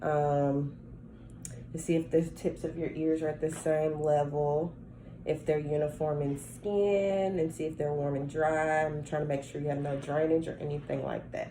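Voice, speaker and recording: A woman speaks at a moderate pace with a very deep, low pitch. Audible room echo surrounds her voice. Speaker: nursing student performing a health assessment. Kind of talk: simulated clinical assessment talk. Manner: halting.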